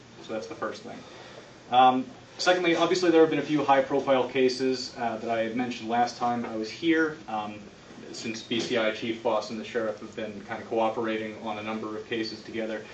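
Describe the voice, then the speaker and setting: A man talks at a fairly quick pace and a medium pitch, with big swings in loudness. Noticeable background noise and audible room echo are in the recording. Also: ordinary pitch variation. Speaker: county prosecutor. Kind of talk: public meeting report. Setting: county commission meeting. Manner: fast; hesitant, many fillers.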